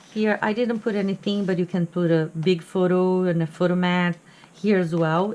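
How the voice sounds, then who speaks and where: Speaking fairly quickly with a Portuguese accent, a woman keeps a fairly low pitch and ordinary pitch variation. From Brazil. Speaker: crafting hobbyist. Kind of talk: tutorial. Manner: halting.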